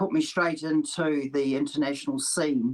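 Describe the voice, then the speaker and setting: A woman's very deep, low voice in a New Zealand accent, with a fairly slow pace and ordinary pitch variation. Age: 70s. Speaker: para lawn bowler. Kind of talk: interview.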